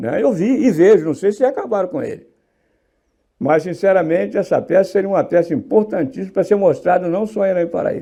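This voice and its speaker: A man's high-pitched voice has a dark, mellow tone and lively intonation. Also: quiet background. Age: 80s+. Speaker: sculptor. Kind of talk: interview. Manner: animated.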